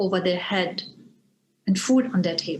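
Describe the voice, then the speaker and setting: The speaker is a woman with a German accent. Her pitch varies in an ordinary way. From Germany. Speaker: interfaith educator and Zen teacher. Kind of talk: lecture. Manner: formal.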